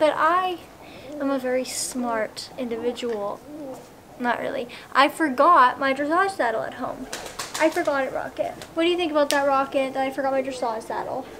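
Over noticeable background noise, a woman speaks at a high pitch with ordinary pitch variation. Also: moderate pace. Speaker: equestrian vlogger. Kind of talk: casual vlog chat. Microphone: camera far.

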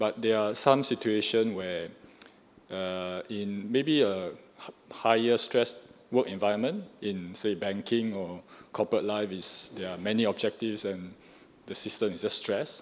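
A man speaks at a fairly low pitch. His pace is fairly slow, with ordinary pitch variation. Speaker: audience member. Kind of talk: audience Q&A question. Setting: hall with live audience. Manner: halting. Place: hall.

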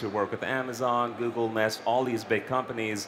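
A man talks at a fairly quick pace. Light background noise is audible. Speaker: startup executive and founder. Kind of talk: panel discussion. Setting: stage with audience. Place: stage. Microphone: headset.

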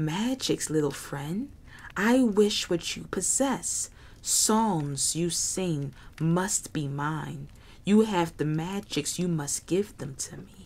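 In a put-on character voice at a middle pitch, the speaker talks at a very slow pace with hissing. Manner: hissing, greedy.

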